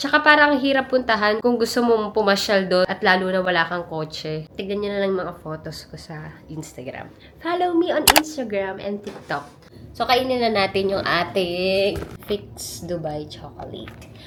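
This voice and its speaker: The speaker's pitch swings very widely at a moderate pace, with noticeable background noise behind. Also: woman, medium pitch for a woman, big swings in loudness. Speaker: travel vlogger. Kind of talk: casual vlog. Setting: hotel room.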